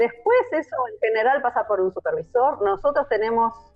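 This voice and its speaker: Over music in the background, a woman speaks with lively intonation in a Rioplatense accent. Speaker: audiovisual translator. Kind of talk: interview answer.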